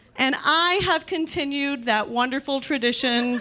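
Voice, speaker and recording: A woman's raised, projected voice, high in pitch, at a fairly slow pace amid noticeable background noise. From Miami, Florida. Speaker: stand-up comedian. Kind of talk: stand-up. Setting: stage with audience.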